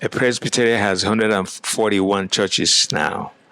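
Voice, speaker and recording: Speaking at a fairly slow pace with an African accent, a man uses a fairly low pitch and fairly even intonation, recorded with a dry, close sound and no echo. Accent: African accent, noticeable. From Nigeria. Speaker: pastor. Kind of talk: interview.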